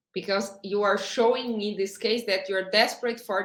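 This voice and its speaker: The speaker has a strong non-native accent. Delivery is at a moderate pace with monotone, flat intonation. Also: woman. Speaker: HR director. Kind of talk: interview. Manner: halting.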